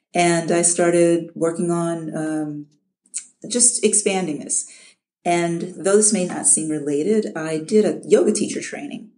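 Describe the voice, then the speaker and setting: In an American accent, an unremarkable speaking voice keeps a fairly slow pace and ordinary pitch variation. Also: woman. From US Midwest. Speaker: audiobook narrator. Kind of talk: interview. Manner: many filler words.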